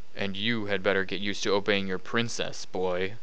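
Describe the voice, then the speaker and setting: With clear background noise, a man growls in a put-on character voice at a fairly quick pace. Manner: lowering to a distinct growl.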